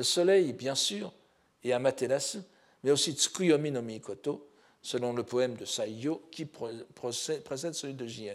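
Speaking very slowly at a medium pitch, a man uses lively intonation with big swings in loudness. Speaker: professor of Japanese philology. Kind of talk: lecture. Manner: halting, many repetitions and hesitations.

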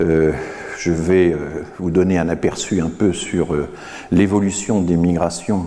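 Over noticeable background noise and audible room echo, a man talks with a very deep, low pitch. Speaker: professor. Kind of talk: lecture. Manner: halting.

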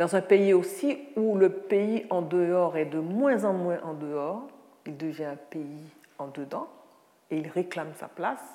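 In a room with audible echo, a woman with a fairly low pitch talks at a very slow pace with lively intonation. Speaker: writer and lecturer. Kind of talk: lecture.

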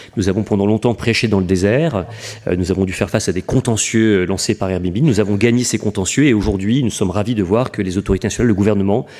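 Talking at a very fast pace, this man has a fairly low pitch, a dark, mellow tone and ordinary pitch variation. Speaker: urban planning director. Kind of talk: conference talk. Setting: conference hall with audience.

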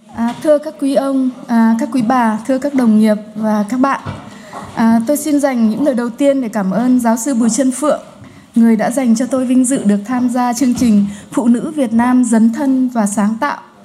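Noticeable background noise and audible room echo surround a woman's high voice. She speaks at a very slow pace with fairly even intonation. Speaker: sociologist. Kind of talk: conference talk. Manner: hesitant with fillers.

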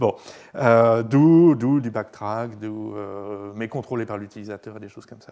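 With a dark, mellow tone at medium pitch, a man talks at a fairly slow pace, taking long, frequent pauses. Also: ordinary pitch variation, big swings in loudness. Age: 50s. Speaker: computer science professor. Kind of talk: Q&A discussion. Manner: halting.

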